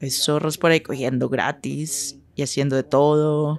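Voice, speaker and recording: A woman speaks at a fairly slow pace. Her pitch is very deep and low. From Northern California, Sacramento; California. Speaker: sex worker; interviewee. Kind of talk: interview. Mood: bold, frank, confident. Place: studio.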